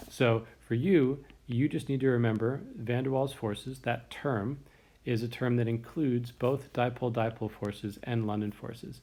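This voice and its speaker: With a dark, mellow tone and fairly even intonation, the voice moves at a moderate pace in a very clean recording with a silent background. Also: man, medium pitch for a man. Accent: American. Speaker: chemistry teacher. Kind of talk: lecture.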